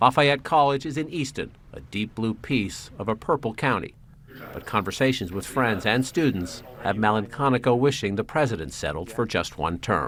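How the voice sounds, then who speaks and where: Lively intonation and a moderate pace in an ordinary speaking voice. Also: man, medium pitch for a man. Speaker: TV news reporter. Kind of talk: TV news report narration.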